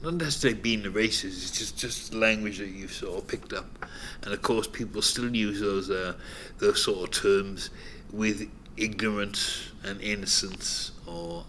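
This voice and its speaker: A fairly low-pitched man speaking fairly slowly, with big swings in loudness and audible room echo. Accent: Cardiff. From Cardiff, Wales (Butetown). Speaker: former local resident. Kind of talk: documentary interview.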